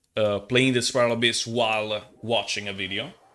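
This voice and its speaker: A man is speaking. He has an Italian accent. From Italy. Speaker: gaming streamer. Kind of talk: casual live stream chat. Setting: live stream. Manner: halting.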